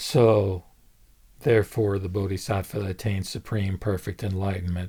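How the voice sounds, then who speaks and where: A man's fairly low, somewhat breathy voice with a dark, mellow tone, fairly even intonation and a moderate pace, on a very clean recording with a silent background. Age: 70s. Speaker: lay Buddhist video blogger. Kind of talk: solo dharma talk. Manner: halting, many fillers and repetitions.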